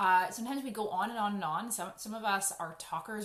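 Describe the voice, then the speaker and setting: Over noticeable background noise, a woman talks at a fairly quick pace with a medium pitch and ordinary pitch variation. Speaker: educational coach for parents, former teacher. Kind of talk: educational talk to parents. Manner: fast; casual, conversational with fillers.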